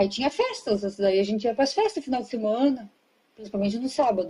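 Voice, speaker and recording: The pitch swings very widely while the delivery keeps a moderate pace. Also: woman. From southern Brazil, Rio Grande do Sul. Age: 30s. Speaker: interview guest. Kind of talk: casual interview.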